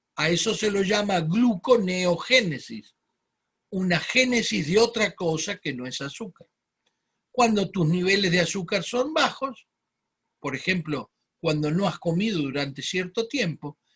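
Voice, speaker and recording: At a fairly slow pace, a man speaks with lively intonation in a high pitch. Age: 60s. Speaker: medical doctor giving health webinar. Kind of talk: webinar lecture. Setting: online webinar.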